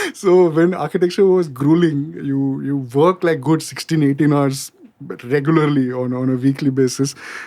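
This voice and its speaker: This man's fairly high pitch carries a dark, mellow tone, with ordinary pitch variation at a moderate pace. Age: 30s. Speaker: songwriter and architect. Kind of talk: podcast interview. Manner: hesitant, many fillers.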